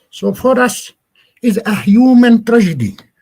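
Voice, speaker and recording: A man speaks with an Arabic accent. His pitch is high. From Palestine. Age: 60s. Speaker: Palestinian agricultural NGO representative. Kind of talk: lecture. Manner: halting.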